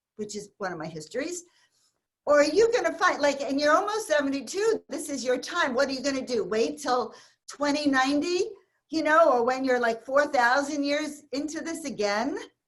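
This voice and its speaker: A woman talks in a high pitch with lively intonation and a passionate tone. Her pace is moderate. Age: 70s. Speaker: spiritual advisor and intuitive healer. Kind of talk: spiritual talk in an online interview.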